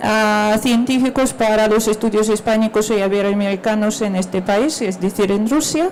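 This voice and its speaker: A fairly slow, fairly even voice in a Russian accent against noticeable background noise. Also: woman. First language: Russian (speaking Spanish). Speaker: historian. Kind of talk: panel presentation.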